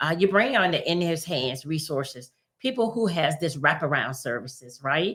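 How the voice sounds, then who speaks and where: At a moderate pace, a woman speaks in a bright, sharp tone with a fairly low pitch. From US South. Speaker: community organization leader. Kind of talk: interview.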